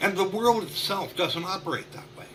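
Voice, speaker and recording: A man's high-pitched voice at a fairly slow pace, with audible room echo and noticeable background noise. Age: 60s. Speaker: marketing consultant. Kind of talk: podcast interview.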